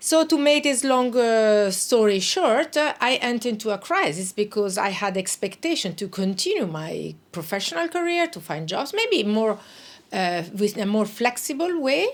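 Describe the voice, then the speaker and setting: With very wide pitch swings, a woman speaks at a fairly high pitch. Her pace is moderate. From northern Italy (South Tyrol, Bolzano). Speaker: international organisation official. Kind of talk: interview. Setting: studio. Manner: hesitant, many fillers.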